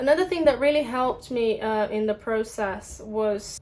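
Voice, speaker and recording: Moderate pace and a fairly high female voice amid noticeable background noise. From Brazil. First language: Portuguese. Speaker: English teacher. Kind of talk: casual vlog talk. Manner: conversational with many fillers.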